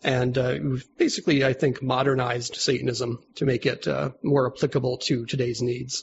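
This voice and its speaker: A man with an Upstate New York accent, medium in pitch, with vocal fry, fairly even intonation and hardly any pauses. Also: moderate pace. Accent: Upstate New York American. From US Northeast, Albany, New York. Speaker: religious organization leader. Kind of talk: casual interview.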